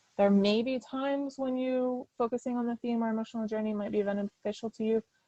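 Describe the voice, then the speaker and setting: Speaking at a very fast pace, a woman with a fairly high pitch and a dark, mellow tone keeps her intonation fairly even, the sound dry and close with no echo. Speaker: author and writing workshop speaker. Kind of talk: lecture.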